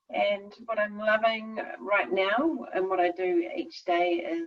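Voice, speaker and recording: A woman speaks with a New Zealand accent. Her intonation is lively. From New Zealand, North Island. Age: 40s. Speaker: skincare business owner. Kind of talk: casual interview.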